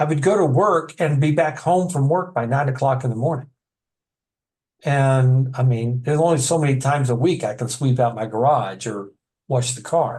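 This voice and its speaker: In an American accent, a man with a somewhat breathy, medium-pitched voice speaks at a moderate pace with ordinary pitch variation. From Texas. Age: 60s. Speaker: author and addiction counselor. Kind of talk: interview. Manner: halting.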